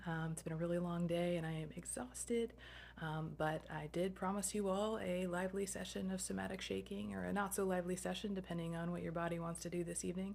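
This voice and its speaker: Soft-spoken, a woman talks at a fairly quick pace and a fairly low pitch. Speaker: somatic movement instructor. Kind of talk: guided movement session. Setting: at home late at night, video recording. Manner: hesitant, many fillers.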